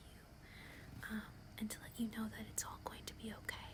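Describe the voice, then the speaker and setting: A woman whispers her words against noticeable background noise. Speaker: ASMR creator. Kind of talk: ASMR roleplay, casual talk to camera. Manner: soft-spoken, whispery, caring.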